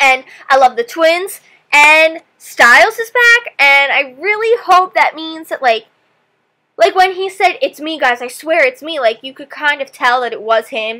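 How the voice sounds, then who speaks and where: The voice is raised and projected, with an animated, bright, sharp tone. Its loudness swings a lot, and its pitch swings very widely. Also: woman, high pitch for a woman, fairly slow pace. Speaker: TV reaction vlogger. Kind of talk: TV episode reaction.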